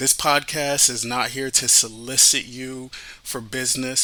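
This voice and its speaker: This man speaks with a Haitian accent at a medium pitch. His tone is bright and sharp, and his intonation stays monotone and flat. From Miami, Florida, Haitian family. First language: Haitian Creole. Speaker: radio host and financial advisor. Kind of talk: podcast introduction.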